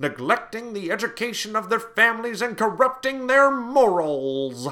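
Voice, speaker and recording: Using a put-on character voice, a man speaks at a moderate pace in a high pitch with very wide pitch swings. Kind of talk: sermonizing, declamatory.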